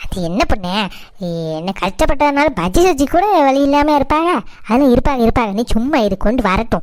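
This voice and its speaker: In a cartoonish character voice, a woman speaks at a high pitch with very wide pitch swings. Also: moderate pace. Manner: loud, rambling.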